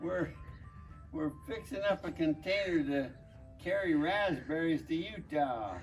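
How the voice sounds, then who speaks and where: Music plays in the background as a man speaks fairly slowly with long, frequent pauses and ordinary pitch variation. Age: 80s+. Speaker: farmer. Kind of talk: casual instructional talk to camera.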